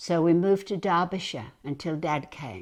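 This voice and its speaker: On a very clean recording with a silent background, a woman speaks. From England (Hull, East Yorkshire). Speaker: retired ballet dancer. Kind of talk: life story interview.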